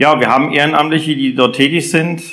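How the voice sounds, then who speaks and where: A man speaks at a very fast pace. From Germany, moved around (Hesse, Lower Saxony). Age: 50s. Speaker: sports club chairman. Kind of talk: interview.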